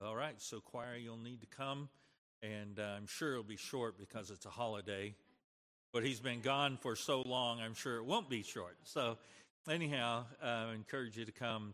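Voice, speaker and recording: A man talks at a medium pitch with fairly even intonation. His tone is bright and sharp. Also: moderate pace. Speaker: church pastor or announcer. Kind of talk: church announcements and prayer. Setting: church.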